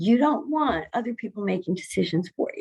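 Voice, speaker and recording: Her voice somewhat breathy, a woman speaks at a fairly high pitch with lively intonation. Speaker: healthcare consultant presenter. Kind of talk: presentation. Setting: video call.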